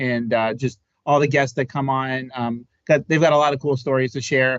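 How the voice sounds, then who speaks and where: A man speaks in an unremarkable speaking voice. His intonation stays fairly even. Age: 40s. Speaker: podcast host. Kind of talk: casual chat. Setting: live podcast.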